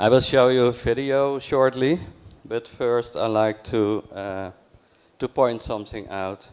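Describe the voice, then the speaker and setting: Speaking at a fairly slow pace, a man keeps a medium pitch and fairly even intonation. The recording is very clean, with a silent background. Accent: Dutch. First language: Dutch. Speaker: library program coordinator. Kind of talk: conference talk. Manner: slow, deliberate; halting.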